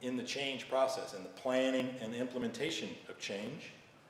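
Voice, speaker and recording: Noticeable background noise and audible room echo surround a male speaker with an American accent. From United States. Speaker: leadership trainer. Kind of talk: presentation. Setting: live online training.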